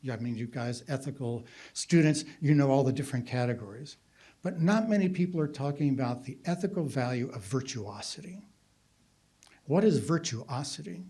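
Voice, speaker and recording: Audible room echo surrounds a man's fairly high, somewhat breathy voice, dark and mellow in tone with lively intonation. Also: moderate pace. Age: 70s. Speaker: philosopher. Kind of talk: conference talk.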